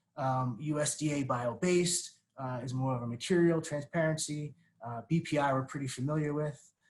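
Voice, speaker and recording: At a fairly quick pace, a man speaks in a fairly high, somewhat breathy voice with fairly even intonation. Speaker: webinar panelist, packaging industry representative. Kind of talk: webinar presentation. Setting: online webinar. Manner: fast; many fillers and repetitions.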